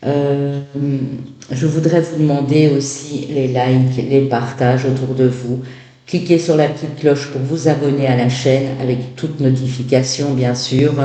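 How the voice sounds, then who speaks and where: Against noticeable background noise and audible room echo, a man talks at a fairly slow pace in a flat, monotone voice with fairly high pitch. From Belgium. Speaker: tarot reader. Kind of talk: tarot reading. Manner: hesitant, many fillers.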